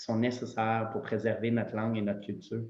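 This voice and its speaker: In a room with audible echo, a man at medium pitch talks in an Ontario accent. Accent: Franco-Ontarian French. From Eastern Ontario, Canada. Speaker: lawyer. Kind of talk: panel discussion.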